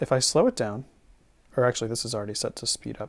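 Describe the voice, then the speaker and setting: Here is a man with an ordinary speaking voice of medium pitch, talking at a fairly quick pace. The sound is dry and close, with no echo. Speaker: teacher. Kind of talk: tutorial. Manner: casual with many fillers.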